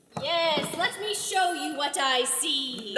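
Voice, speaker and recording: A put-on character voice at a high pitch drawls at a very slow pace amid clear echo and clear background noise. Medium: stage play.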